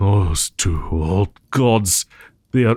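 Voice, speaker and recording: A man puts on a character voice with a very deep, low pitch, speaking at a very slow pace. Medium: audio drama. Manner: formal, measured.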